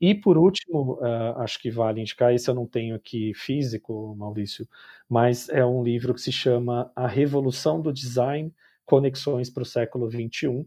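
The man's dark, mellow tone comes through on a very clean recording with a silent background. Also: medium pitch for a man, ordinary pitch variation, moderate pace. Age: 40s. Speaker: design educator and business designer. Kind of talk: interview. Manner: halting.

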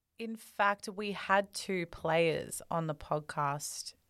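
With an Australian accent, a woman speaks at a fairly low pitch, her intonation fairly even. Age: 20s. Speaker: podcast host. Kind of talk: interview. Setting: video call.

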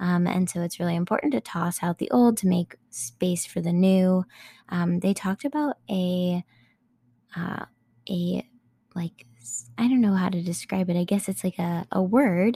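A woman speaks at a medium pitch and moderate pace, her somewhat breathy voice having a dark, mellow tone, ordinary pitch variation and long, frequent pauses, with a dry, close sound with no echo. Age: 20s. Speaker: podcast host. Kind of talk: casual chat.

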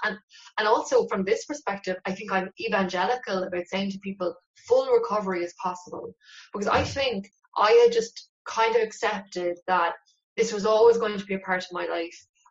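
A woman with a Cork accent at a fairly quick pace. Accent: Cork Irish. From Ireland, West Cork. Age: 30s. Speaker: novelist. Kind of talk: interview.

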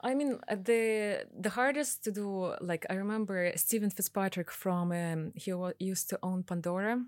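Moderate pace, hardly any pauses, and ordinary pitch variation. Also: woman, medium pitch for a woman. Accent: Russian. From Russia. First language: Russian. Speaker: piercing studio owner. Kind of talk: interview.

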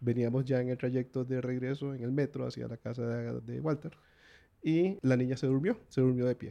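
In a Costa Rican accent, a man with a dark, mellow, medium-pitched voice speaks at a moderate pace with fairly even intonation. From Costa Rica, Guanacaste. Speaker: visiting relative interviewed about his country. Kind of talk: casual interview.

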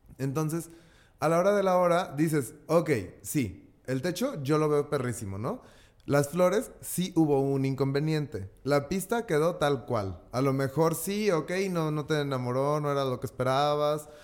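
Lively intonation marks this man's ordinary speaking voice. His pitch is fairly high and his pace fairly slow. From Mexico, Guadalajara. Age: 30s. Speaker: event designer. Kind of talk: casual chat.

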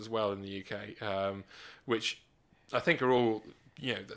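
Bright and sharp in tone, a man speaks with a British accent at a moderate pace. The recording is very clean, with a silent background. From England, Gloucestershire. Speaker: stand-up comedian and nuclear physicist. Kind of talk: casual chat.

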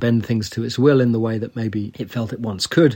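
A man talks at a fairly quick pace and medium pitch in a plain, everyday voice, his intonation fairly even. The recording is very clean, with a silent background. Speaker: podcast host. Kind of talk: interview discussion on politics.

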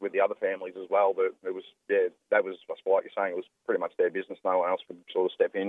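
At a very fast pace, a man speaks with an Australian accent. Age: 20s. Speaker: former domestic abuser. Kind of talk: testimony. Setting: phone call.

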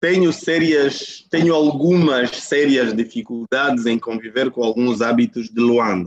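A man in a plain, everyday voice speaks at a fairly slow pace with medium pitch, ordinary pitch variation, very even loudness and hardly any pauses. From Angola, Huambo province. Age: 50s. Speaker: company executive, coach. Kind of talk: interview over video call. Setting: video call.

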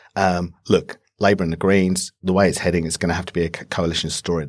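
A man's very deep, low voice with a British accent, fairly quick, in a very clean recording with a silent background. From UK. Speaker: politics lecturer. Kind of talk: panel discussion. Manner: hesitant with fillers.

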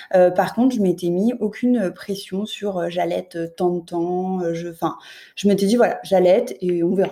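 The female voice has a dark, mellow tone. She speaks fairly slowly. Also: medium pitch for a woman, ordinary pitch variation. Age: 30s. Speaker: mother, childcare assistant. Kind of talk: interview testimony.

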